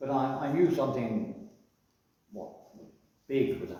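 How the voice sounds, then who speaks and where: A man with a somewhat breathy voice talks at a moderate pace, his pitch swinging very widely. His loudness varies a lot, and there is audible room echo. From northern England, Wirral, Cheshire. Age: 80s+. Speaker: retired publican. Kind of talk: interview, life story. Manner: hesitant, many fillers.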